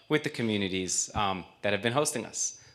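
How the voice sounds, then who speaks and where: A man talks in a New York accent. His pace is fairly quick. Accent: New York American English. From US Northeast (Queens, New York). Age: 40s. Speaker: nonprofit volunteer, former army spokesman. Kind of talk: presentation speech. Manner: fluent, brisk.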